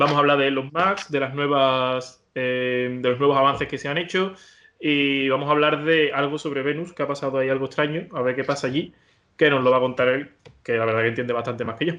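A man's unremarkable speaking voice, fairly high in pitch, at a fairly quick pace with fairly even intonation. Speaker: podcast host. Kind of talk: casual interview.

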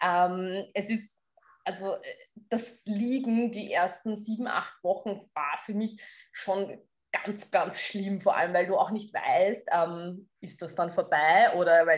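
Ordinary pitch movement in a normal speaking voice. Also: woman. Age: 30s. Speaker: fitness coach. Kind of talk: interview.

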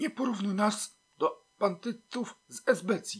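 In a hissing put-on character voice, a man speaks high in pitch at a fairly slow pace. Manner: hissed, quiet, sharp.

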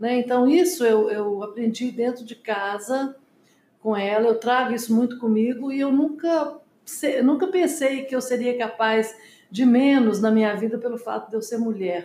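The woman's high-pitched voice carries a dark, mellow tone. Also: ordinary pitch variation, moderate pace. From Brazil, Minas Gerais (Belo Horizonte). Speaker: businesswoman, company co-founder. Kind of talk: interview.

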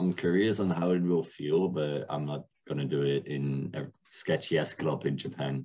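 Speaking with a Dutch accent, a man uses a very deep, low pitch and a dark, mellow tone, keeping his intonation fairly even. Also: moderate pace. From Netherlands. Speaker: DJ. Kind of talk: casual chat.

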